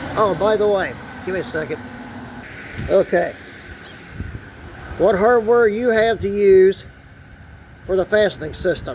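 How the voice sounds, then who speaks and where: Against noticeable background noise, a man with a high voice talks at a fairly slow pace with long, frequent pauses and ordinary pitch variation. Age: 60s. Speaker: DIY auto mechanic YouTuber. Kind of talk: tutorial. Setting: outdoors. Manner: casual, conversational.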